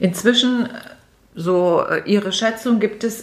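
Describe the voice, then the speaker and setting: Very slow speech from a woman, fairly high in pitch and with ordinary pitch variation. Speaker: podcast host. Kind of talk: interview. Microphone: muffled from wearing a mask.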